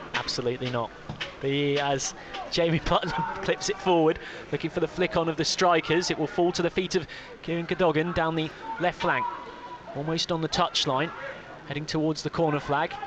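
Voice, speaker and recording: Noticeable background noise sits under a man's fairly high-pitched voice. He talks at a fairly quick pace with fairly even intonation and long, frequent pauses. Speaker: football commentator. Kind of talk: radio football commentary.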